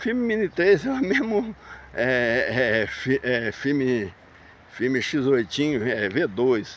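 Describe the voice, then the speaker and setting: A man's voice with very wide pitch swings and a dry sound with no echo over light background noise. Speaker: drone hobbyist YouTuber; drone hobbyist vlogger. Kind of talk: casual vlog monologue. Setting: outdoors walking in a park. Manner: hesitant with repetitions. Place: open country. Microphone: phone camera recording while walking; phone near.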